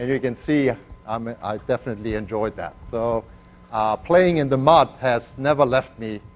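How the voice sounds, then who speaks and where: Moderate-paced speech with music in the background. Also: man, medium pitch for a man, ordinary pitch variation. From Argentina, then Germany. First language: Spanish. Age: old. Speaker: chemistry professor. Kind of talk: lecture. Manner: hesitant, many fillers.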